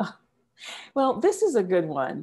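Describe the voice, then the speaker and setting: In an American accent, a woman talks on a very clean recording with a silent background. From US South, small-town South Carolina. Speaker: executive coach and consultant. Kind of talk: interview storytelling.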